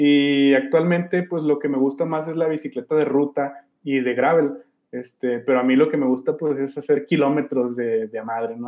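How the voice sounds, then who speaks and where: A man's voice at mid pitch, moderately paced, its intonation fairly level. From Durango, Mexico. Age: 30s. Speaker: former punk band vocalist. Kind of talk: interview. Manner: halting, with frequent repetitions and fillers.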